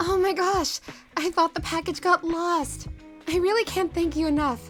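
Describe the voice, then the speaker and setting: A put-on character voice, breathy and extremely high-pitched, moves at a moderate pace. Clear music plays in the background. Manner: grateful, cheerful.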